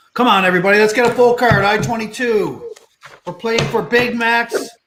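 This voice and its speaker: The intonation stays fairly even throughout. Music plays in the background, and room echo can be heard. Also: man. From Newfoundland, near St. John's. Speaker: bingo show host. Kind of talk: casual banter while calling bingo.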